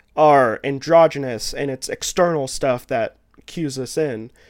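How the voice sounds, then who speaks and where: A man speaks at a fairly slow pace in a Kentucky accent. The recording is very clean, with a silent background. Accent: Kentucky Southern US. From Kentucky, US South. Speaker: podcaster. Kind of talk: casual chat.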